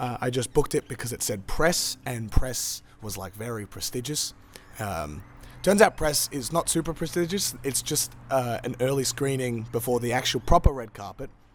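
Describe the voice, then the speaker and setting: This man has an Australian accent and a medium pitch. His intonation is lively. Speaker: film reviewer. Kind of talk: casual review monologue. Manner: many fillers (uh, um).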